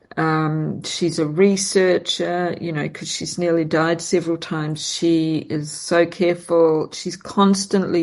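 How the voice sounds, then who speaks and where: Against noticeable background noise, a woman with a fairly low pitch talks at a very slow pace in a monotone, flat intonation with hardly any pauses. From New Zealand. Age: 60s. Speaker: podcast host, perfumer and astrologer. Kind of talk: casual chat.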